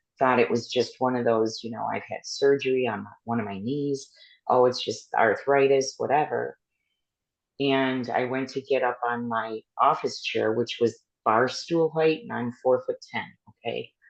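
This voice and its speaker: A man with a plain, everyday voice talks at a medium pitch and moderate pace with fairly even intonation over a quiet background. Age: 60s. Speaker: podcast host living with epilepsy. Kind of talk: casual chat.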